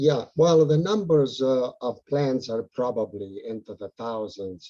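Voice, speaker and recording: A man with an Italian accent, very slow pace, dark, mellow tone and ordinary pitch variation. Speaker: house painter and monarch butterfly enthusiast. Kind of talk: casual Q and A on video call. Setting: video call.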